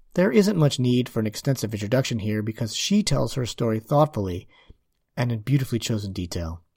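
A man talks at a fairly quick pace with lively intonation and a somewhat breathy sound. The recording is very clean, with a silent background. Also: medium pitch for a man. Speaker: podcast host. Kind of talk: interview conversation.

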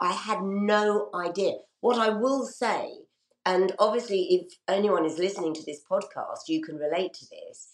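A woman speaks in a normal speaking voice at medium pitch and a moderate pace. Her pitch varies in an ordinary way, while her loudness swings widely. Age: 60s. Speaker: radio presenter. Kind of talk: interview.

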